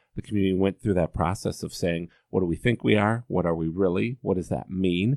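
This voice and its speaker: With an American accent, a man speaks at a fairly quick pace in a very deep, low pitch with ordinary pitch variation, recorded dry and close with no echo. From US Midwest, Columbus, Ohio. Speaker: nonprofit executive. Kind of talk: interview. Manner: halting.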